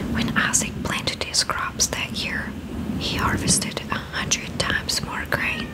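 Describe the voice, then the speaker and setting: Whispering, a woman speaks at a fairly slow pace. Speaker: ASMR creator. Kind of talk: Bible reading. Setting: studio, microphone with fluffy cover. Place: home room. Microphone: studio mic.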